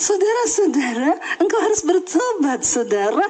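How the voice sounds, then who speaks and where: A woman's put-on character voice at an extremely high pitch, with very wide pitch swings and a moderate pace. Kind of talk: sermon-like. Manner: smiling, cheerful.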